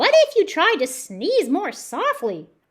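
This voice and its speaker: A squeaky put-on character voice speaks at a fairly slow pace. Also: woman, extremely high pitch for a woman. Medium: read story. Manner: bright, eager.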